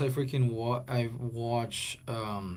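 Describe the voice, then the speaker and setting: A man speaks in a somewhat breathy voice. Audible room echo surrounds him. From Guatemala. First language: Spanish. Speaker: livestreamer. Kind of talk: casual livestream chat. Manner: halting, many fillers and restarts.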